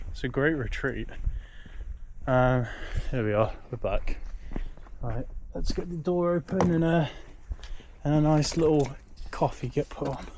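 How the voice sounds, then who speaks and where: With a British accent, a man talks at a fairly slow pace and a fairly high pitch, using ordinary pitch variation and long, frequent pauses. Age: 30s. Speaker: travel vlogger. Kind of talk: casual vlog monologue. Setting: outdoors.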